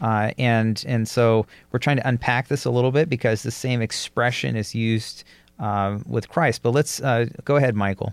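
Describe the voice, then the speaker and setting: Over a dry, close sound with no echo, a man with an ordinary speaking voice at medium pitch talks at a moderate pace with fairly even intonation. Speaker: podcast co-host and pastor. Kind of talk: casual Bible study discussion.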